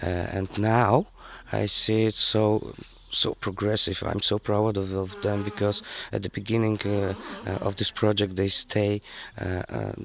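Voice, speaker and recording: A man with a fairly low pitch and fairly even intonation talks at a fairly slow pace amid noticeable background noise. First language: not English. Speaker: youth group leader. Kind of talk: interview. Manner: halting.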